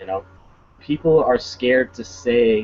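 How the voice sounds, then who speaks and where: Shaky and medium in pitch, a man's voice carries ordinary pitch variation. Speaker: podcast co-host. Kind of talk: casual chat. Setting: outdoors. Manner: shaky from cold; stammering repetitions.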